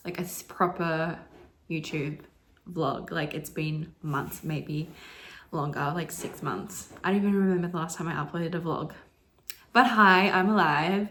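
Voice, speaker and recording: A woman with an Australian accent and a fairly low pitch speaks with long, frequent pauses. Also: fairly even intonation, fairly slow pace. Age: 20s. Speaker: indie author. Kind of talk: casual talk to camera.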